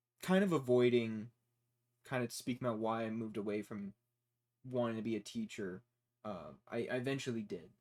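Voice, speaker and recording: A man with an unremarkable speaking voice and an American accent speaks at a medium pitch and a fairly quick pace. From United States. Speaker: engineering student vlogger. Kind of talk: casual monologue. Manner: rambling, many fillers.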